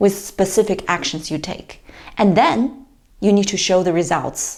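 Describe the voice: A woman with a medium pitch and slightly mellow tone speaks at a fairly slow pace.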